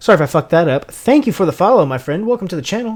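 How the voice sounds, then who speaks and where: A man is speaking. His pitch moves in very wide swings. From Tennessee. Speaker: streamer building keyboards. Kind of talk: live stream chat while building.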